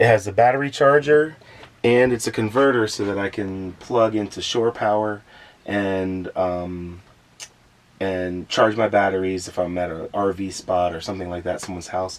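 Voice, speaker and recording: A man speaks with an American accent in an unremarkable speaking voice. His pitch is fairly low with ordinary pitch variation, at a moderate pace. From Florida. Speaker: van dweller. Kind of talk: casual chat.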